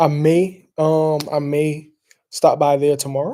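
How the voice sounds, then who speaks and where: The speaker is a man with a Southern US accent. His tone is dark and mellow. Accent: Southern country. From US South, South Carolina. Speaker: fragrance reviewer. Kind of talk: casual chat. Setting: live stream. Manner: casual, rambling with fillers.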